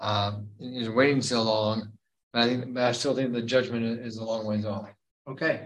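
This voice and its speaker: A man with an American accent and a plain, everyday voice, medium in pitch, at a moderate pace. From Kentucky, US. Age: 50s. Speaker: Bible study leader. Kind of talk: Bible study teaching. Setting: church.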